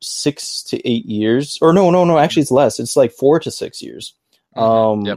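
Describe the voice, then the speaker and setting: An American man with a fairly high pitch talks at a fairly quick pace, his pitch swinging very widely, on a very clean recording with a silent background. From United States. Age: 20s. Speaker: podcast host. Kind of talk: casual chat. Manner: young-sounding.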